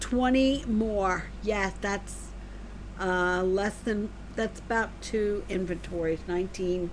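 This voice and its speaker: Very slowly, a woman speaks in a space with audible room echo. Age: 60s. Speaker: gaming streamer. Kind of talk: live game stream chat. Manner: casual, chatty.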